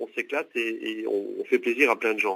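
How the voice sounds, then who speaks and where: The man speaks at a moderate pace. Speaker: graphic designer and game creator. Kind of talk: interview answer. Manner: hesitant, many fillers.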